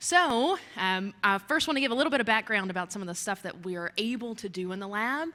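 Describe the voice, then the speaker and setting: With a Kentucky accent, a woman speaks at a fairly quick pace in a bright, sharp tone. Her pitch is medium and her intonation lively. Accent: Kentucky accent, noticeable. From US, Kentucky. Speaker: geoscience researcher. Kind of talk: lecture. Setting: talk to a society audience.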